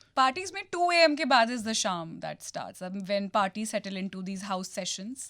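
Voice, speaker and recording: Talking with hardly any pauses, a woman with an ordinary speaking voice and a medium pitch uses lively intonation and big swings in loudness. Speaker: radio jockey. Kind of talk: radio interview host.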